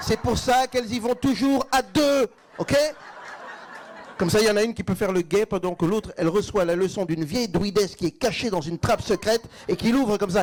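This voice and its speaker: Through noticeable background noise, a man with a high pitch speaks with ordinary pitch variation and long, frequent pauses. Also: fairly quick pace. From Belgium. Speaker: stand-up comedian. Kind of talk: live stand-up comedy set.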